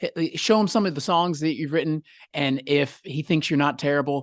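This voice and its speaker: With an American accent and a normal speaking voice, a man talks at a fairly quick pace in a fairly high pitch with ordinary pitch variation against a quiet background. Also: dry, close sound with no echo. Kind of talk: interview.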